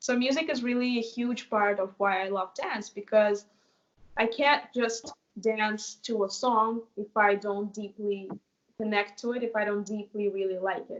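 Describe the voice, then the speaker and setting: Speaking at a fairly slow pace, a woman uses a fairly high pitch and fairly even intonation. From Russia, Moscow. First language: Russian. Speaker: dancer and choreographer. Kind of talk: interview.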